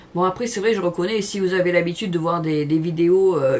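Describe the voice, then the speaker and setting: A woman's fairly low voice with ordinary pitch variation, in a southern French accent. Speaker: cooking channel host. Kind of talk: casual chat to camera. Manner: hesitant, many fillers; talkative.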